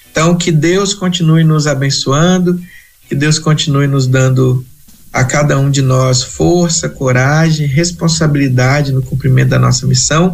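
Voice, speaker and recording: A man speaks at a fairly high pitch and a fairly slow pace, his voice somewhat breathy. His intonation is fairly even and his loudness very even. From Brazil, Espírito Santo (rural). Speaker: missionary. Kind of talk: interview.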